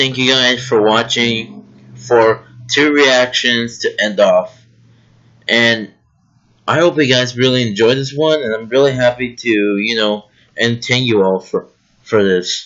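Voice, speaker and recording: A man speaks at a fairly slow pace with fairly even intonation. Long, frequent pauses break his speech over a quiet background. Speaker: YouTuber. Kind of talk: casual vlog chat. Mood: happy, grateful. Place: home room. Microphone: webcam.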